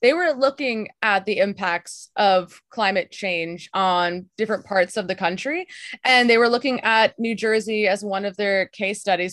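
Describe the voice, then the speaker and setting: A woman with an American accent talks at a moderate pace and medium pitch in a plain, everyday voice, with ordinary pitch variation. The sound is dry and close with no echo, over a quiet background. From Texas. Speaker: podcast producer and host. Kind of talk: interview. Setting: call.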